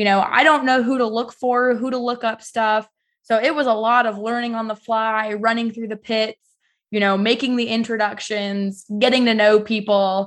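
A woman's fairly high voice with an American accent, monotone and flat at a moderate pace, over a quiet background. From US West, southern Idaho. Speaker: motorsport pit reporter and former race driver. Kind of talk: casual interview.

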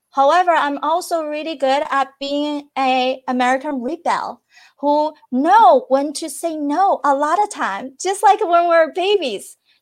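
Over a quiet background, a woman with a Chinese accent speaks at a high pitch and fairly slow pace, with lively intonation and hardly any pauses. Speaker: peak performance and wellness coach. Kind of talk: interview.

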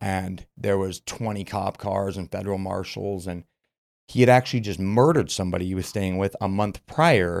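A man with an unremarkable speaking voice talks at a moderate pace in a fairly low pitch with ordinary pitch variation, recorded very cleanly against a silent background with a dry, close sound and no echo. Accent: American. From Utah (Murray). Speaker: supplement business owner, former addict. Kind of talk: personal testimony in casual interview. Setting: studio.

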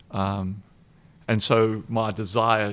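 This man speaks with a South African accent, a fairly low pitch and fairly even intonation. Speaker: nonprofit foundation executive director. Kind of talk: interview conversation.

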